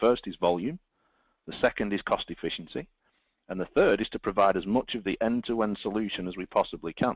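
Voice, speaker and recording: A man speaks at a fairly quick pace with a British accent and a fairly low pitch. His loudness swings widely while his pitch varies in an ordinary way. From Britain. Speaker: telecom engineering director. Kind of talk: webinar presentation. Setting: online webinar.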